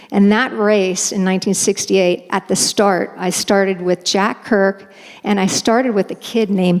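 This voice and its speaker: Speaking with an American accent, a woman keeps a monotone, flat intonation at a fairly slow pace. Noticeable background noise is present. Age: 60s. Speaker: storyteller, veteran race runner. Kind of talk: live storytelling. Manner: hesitant, with fillers and restarts.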